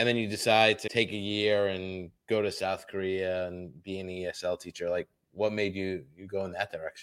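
A man with a plain, everyday voice and a fairly low pitch speaks at a moderate pace in a very clean recording with a silent background. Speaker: podcast co-host. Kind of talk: interview.

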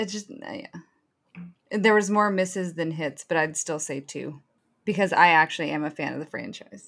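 A woman speaks at a moderate pace in an ordinary speaking voice, her pitch fairly low. Her loudness swings widely and her intonation is lively. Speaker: podcast panelist. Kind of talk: casual chat.

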